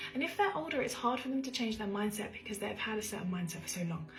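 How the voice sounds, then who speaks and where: A woman speaks quietly with music in the background. Audible room echo surrounds her voice. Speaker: social media creator. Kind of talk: casual advice monologue. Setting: at home.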